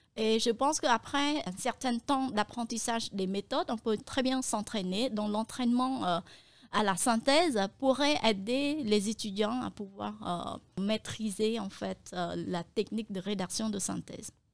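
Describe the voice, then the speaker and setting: On a very clean recording with a silent background, a woman with a Cambodian accent talks fairly slowly in a fairly high voice. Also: ordinary pitch variation. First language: Khmer (speaking French). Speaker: translator and interpreter. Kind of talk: interview. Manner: hesitant, frequent euh fillers.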